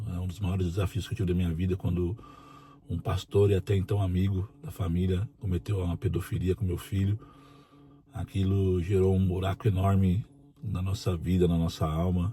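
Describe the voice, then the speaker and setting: A man speaks at a very deep, low pitch with a dark, mellow tone that is somewhat breathy. His intonation stays fairly even at a moderate pace. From Brazil, interior of São Paulo state. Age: 40s. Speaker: prison officer and union president. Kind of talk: personal testimony.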